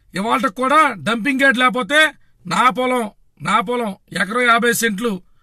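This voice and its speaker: Extremely high in pitch, a man speaks in a raised, projected voice. His tone is bright and sharp. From Andhra Pradesh, Bhimavaram. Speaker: political party activist. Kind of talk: political rant. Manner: animated.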